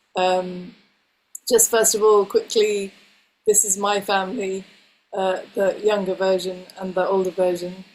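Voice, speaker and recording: Speaking with an English accent, a woman keeps a medium pitch and a monotone, flat intonation. Her fairly slow delivery is broken by long, frequent pauses. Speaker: homeschooling education presenter. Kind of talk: webinar presentation.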